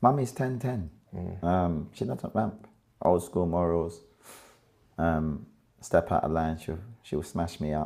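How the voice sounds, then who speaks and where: In a London accent, a man speaks with a very deep, low pitch and a dark, mellow tone. His intonation is lively, at a fairly slow pace with long, frequent pauses. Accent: London Multicultural English. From London, Brixton. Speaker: rapper. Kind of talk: casual chat.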